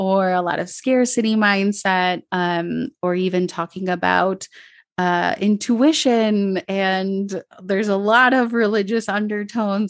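Speaking in an Upper Midwest accent, a woman uses a medium pitch and fairly even intonation. The sound is dry and close with no echo, over a quiet background. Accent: American (Upper Midwest). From Minnesota suburbs, US, Colombian immigrant family. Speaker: mentor and podcaster. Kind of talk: casual interview chat. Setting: remote call.

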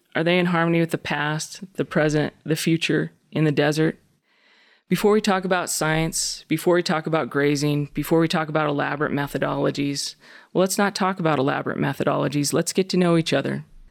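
With an American accent, a woman talks at a fairly quick pace in a very deep, low pitch, her loudness very even and her intonation fairly even, on a very clean recording with a silent background. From US West ranch country. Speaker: poet. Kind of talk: poem reading, thoughtful and measured.

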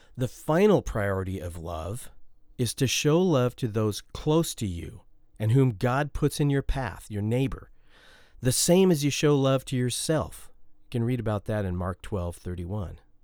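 The speaker goes at a fairly slow pace while the pitch swings very widely. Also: man, medium pitch for a man. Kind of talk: solo devotional podcast talk. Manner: conversational with fillers.

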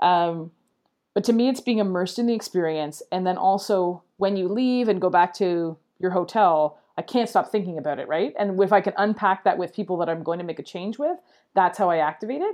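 A woman with a normal speaking voice, medium pitch, ordinary pitch variation, and a fairly quick pace. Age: 40s. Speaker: educational technology coach. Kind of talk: casual chat.

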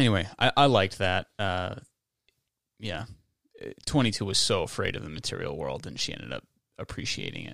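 Fairly low-pitched male speech with vocal fry, very wide pitch swings, big swings in loudness, a fairly quick pace, and long, frequent pauses. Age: 20s. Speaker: podcast host. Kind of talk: casual chat.

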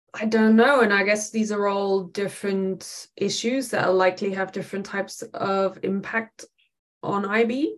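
With a German accent, a woman speaks in a fairly even intonation. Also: medium pitch for a woman, moderate pace. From Germany, west near Dutch border. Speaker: professor. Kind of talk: interview.

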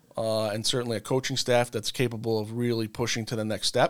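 On a very clean recording with a silent background, a man speaks at medium pitch and a fairly quick pace. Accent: American. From Long Island, New York.

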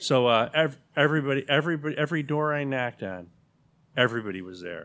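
A man talks fairly quickly in an ordinary speaking voice with an American accent. His pitch is medium, with ordinary variation. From Chicago area, River Forest. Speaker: neighborhood association president. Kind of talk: casual chat.

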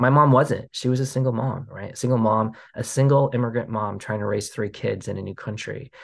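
With a General American accent and vocal fry, a man talks with hardly any pauses and fairly even intonation against a quiet background. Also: medium pitch for a man, fairly quick pace. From US Pacific Northwest. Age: 40s. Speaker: documentary filmmaker. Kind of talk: interview. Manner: hesitant, many fillers and restarts.

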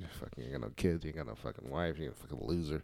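A man's very deep, low voice, dark and mellow with vocal fry, ordinary pitch variation and a very fast pace. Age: 30s. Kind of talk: casual chat. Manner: animated.

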